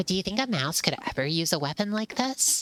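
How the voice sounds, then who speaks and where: Pitched in the middle range, a put-on character voice runs at a fairly quick pace. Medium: virtual streamer. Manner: curious, eager.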